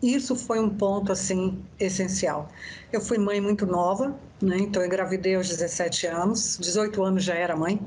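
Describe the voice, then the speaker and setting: With audible room echo, a woman of medium pitch speaks at a moderate pace, her loudness very even and her intonation fairly even. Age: 60s. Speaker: therapist and biodanza facilitator. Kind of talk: interview.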